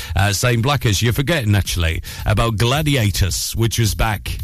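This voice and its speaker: Intonation is lively throughout. There is noticeable background noise and audible room echo. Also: man. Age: 30s. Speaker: radio breakfast DJ. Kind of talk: local radio breakfast DJ patter, time checks, travel news and chatty song links. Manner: upbeat, chatty and informal, filler-heavy with frequent uhs; quick, breezy flow of time checks and trails.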